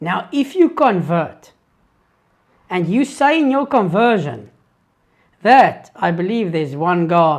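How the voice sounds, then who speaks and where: In a South African accent, the speaker talks at a very slow pace. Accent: Afrikaans South African English. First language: Afrikaans. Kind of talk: live Q&A stream. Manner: hesitant, with fillers and restarts.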